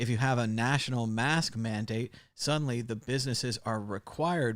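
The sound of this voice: An unforced reading voice carries the text.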